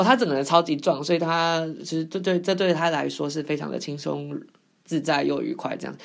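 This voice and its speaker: On a very clean recording with a silent background, a woman speaks in a fairly low voice with vocal fry. She talks at a fairly quick pace with ordinary pitch variation. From Taiwan. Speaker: podcast host. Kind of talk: casual monologue. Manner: hesitant, many fillers.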